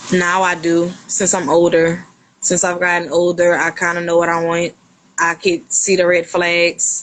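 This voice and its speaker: A woman with a Louisiana accent talks in a fairly low pitch with monotone, flat intonation. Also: moderate pace. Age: 30s. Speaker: podcast guest. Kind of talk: casual interview chat.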